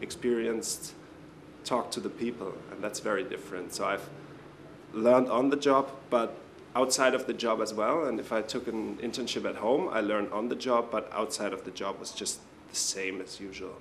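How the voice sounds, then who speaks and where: In a German accent, a man talks at medium pitch and a moderate pace. His pitch varies in an ordinary way, with audible room echo. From Germany. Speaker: international intern. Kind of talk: interview.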